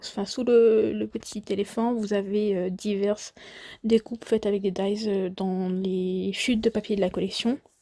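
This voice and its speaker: A woman's dark, mellow voice, very slow and monotone with flat intonation, in a dry, close sound without echo. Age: 20s. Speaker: scrapbooking crafter. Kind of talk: voice-over craft tutorial presentation. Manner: hesitant.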